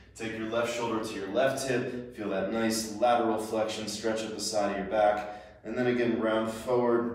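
A man's fairly low voice at a moderate pace, fairly even intonation, strong room echo. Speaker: movement instructor. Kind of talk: tutorial.

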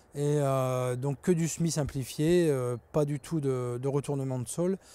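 The man's tone is dark and mellow, and the sound is dry with no echo. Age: 30s. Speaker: farm manager at an agricultural school. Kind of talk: interview. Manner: hesitant with frequent fillers. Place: farm.

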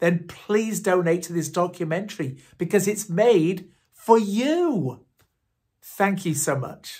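A man speaks very slowly in a high voice with ordinary pitch variation against a quiet background. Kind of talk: direct appeal to camera. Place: home room. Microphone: phone near.

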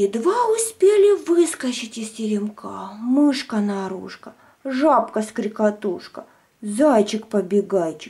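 Lively in intonation, a woman speaks at a slow pace with a dark, mellow tone and a slightly husky edge.

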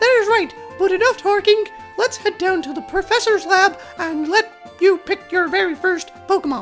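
A female-sounding, put-on character voice at an extremely high pitch over clear music in the background. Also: moderate pace. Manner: warm, encouraging.

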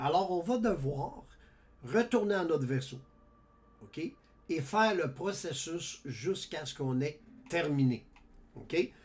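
In a Quebec accent, a man with a fairly high pitch speaks at a very slow pace with long, frequent pauses and lively intonation. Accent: Québécois French. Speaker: gaming YouTuber. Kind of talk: gameplay tutorial. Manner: casual, halting with many fillers.

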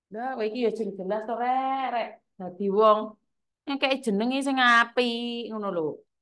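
A woman talks loudly at a fairly slow pace, her fairly high pitch paired with a bright, sharp tone. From Java, Indonesia. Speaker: live streamer, migrant worker community host. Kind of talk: casual live stream chat. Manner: animated. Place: home room. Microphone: lapel.

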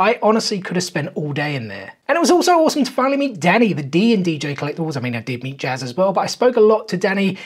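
At a very fast pace, a man talks with very wide pitch swings. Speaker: collectibles vlogger. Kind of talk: casual vlog chat. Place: home room.

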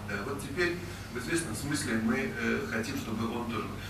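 A man speaks at a moderate pace with lively intonation. Noticeable background noise and audible room echo are present. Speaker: foundation director and journalist. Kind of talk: presentation. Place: hall. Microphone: camera far.

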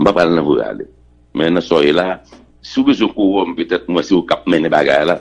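Quiet background behind a man speaking. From Haiti. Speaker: senator. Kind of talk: heated debate. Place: studio. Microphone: studio mic.

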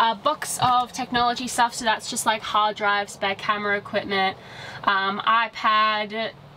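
A woman talks with fairly even intonation. Light background noise is present. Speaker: travel vlogger. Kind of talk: casual vlog chat. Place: car.

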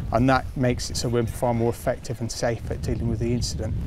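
A man speaks at a fairly quick pace and medium pitch, his intonation fairly even. Noticeable background noise runs underneath. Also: dry sound with no echo. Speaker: fire service group manager. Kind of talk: interview answer. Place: street.

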